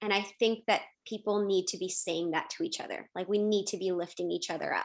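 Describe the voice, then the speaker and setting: With a Canadian accent, a woman talks at a fairly quick pace in an energetic tone, her pitch varying in an ordinary way. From Calgary, Canada. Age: 20s. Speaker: TV news reporter and anchor. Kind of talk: podcast interview.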